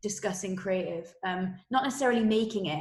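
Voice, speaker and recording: Very fast pace from a woman at medium pitch. She speaks in a Welsh accent. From Wales. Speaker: creative director. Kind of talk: interview. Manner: many fillers and restarts.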